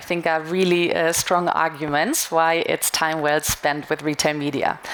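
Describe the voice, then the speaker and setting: A woman's fairly low voice moves at a fairly slow pace amid noticeable background noise. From Germany. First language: German. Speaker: retail media marketing manager. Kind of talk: conference talk. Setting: stage with audience.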